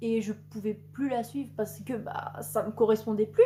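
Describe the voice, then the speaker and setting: A woman speaks at a fairly high pitch with ordinary pitch variation. Noticeable background noise can be heard. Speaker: booktuber. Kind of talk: casual chat. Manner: fast.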